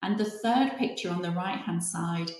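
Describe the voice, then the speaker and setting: A woman with a British accent and a fairly low pitch. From UK. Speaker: hypnotherapy trainer. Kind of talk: webinar presentation. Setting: online webinar.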